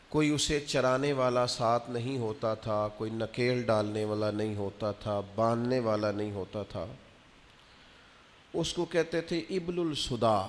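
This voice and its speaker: A man talks in an unremarkable speaking voice at a medium pitch. His pitch varies in an ordinary way. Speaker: Islamic preacher giving a Friday sermon. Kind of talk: religious sermon, emotional delivery to an audience.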